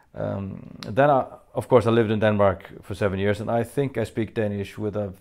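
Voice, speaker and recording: With a Faroese accent, a man speaks at a fairly quick pace and with fairly even intonation. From Faroe Islands. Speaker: metal band frontman answering fan questions. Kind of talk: Q&A video monologue. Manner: hesitant, many fillers.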